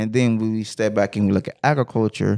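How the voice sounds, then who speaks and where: A man talks at a fairly low pitch in a dark, mellow tone. His intonation stays fairly even, and the sound is dry and close with no echo. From Compton, California. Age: 30s. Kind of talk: casual chat.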